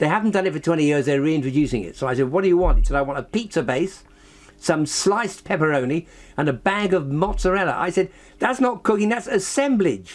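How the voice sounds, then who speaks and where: In an English accent, a man talks at a very fast pace with a high pitch and lively intonation. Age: 80s+. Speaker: scientist and author. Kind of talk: interview. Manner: animated.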